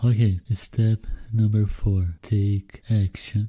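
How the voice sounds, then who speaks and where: Fairly low and somewhat breathy, a man's dark, mellow voice with a Brazilian accent moves at a fairly slow pace with fairly even intonation. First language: Brazilian Portuguese. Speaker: podcast host. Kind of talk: solo podcast monologue.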